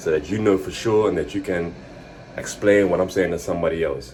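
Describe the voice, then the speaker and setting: A man rattles off his words very fast, his intonation fairly even, while noticeable background noise carries on. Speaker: fitness vlogger. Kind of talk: casual vlog monologue. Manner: fumbling over words.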